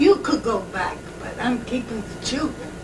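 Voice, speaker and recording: Over noticeable background noise, a woman with an American accent speaks at a fairly slow pace in a high pitch. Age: 80s+. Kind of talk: family reminiscence.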